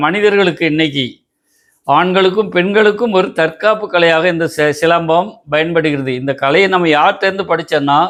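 Against a quiet background, a man talks in a high voice with ordinary pitch variation. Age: 70s. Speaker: silambam martial arts teacher. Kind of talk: interview. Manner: halting.

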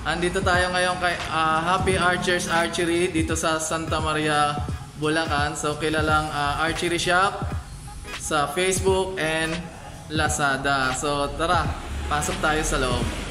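A man talks at a fairly slow pace with fairly even intonation and very even loudness. Clear music plays in the background. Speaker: vlogger. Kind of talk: casual vlog chat. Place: shop. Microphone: phone near.

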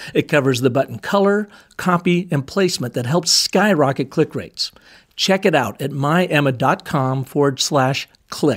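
A man talks in a normal speaking voice, fairly high in pitch, with lively intonation. The pace is moderate and the recording is very clean, with a silent background. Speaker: podcast host. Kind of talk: interview.

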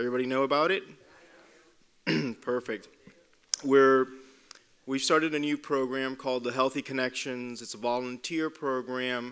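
A man talks at a moderate pace and a medium pitch. His intonation is monotone and flat, broken by long, frequent pauses. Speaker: physician lecturer. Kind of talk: public talk to an audience. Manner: halting, many fillers. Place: hall. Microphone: podium.

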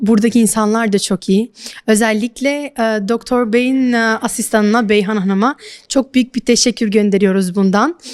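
A woman with an unremarkable speaking voice talks at a moderate pace. Her pitch is fairly high and her intonation fairly even. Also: dry, close sound with no echo. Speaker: interpreter for her mother. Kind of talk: interview.

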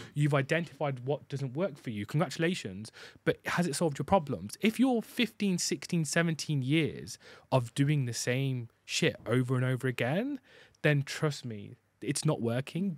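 At a moderate pace, a man with a fairly high pitch speaks with lively intonation, the sound dry with no echo and the background quiet. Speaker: podcast host. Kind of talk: casual chat. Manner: animated, gets loud. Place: studio. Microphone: studio mic.

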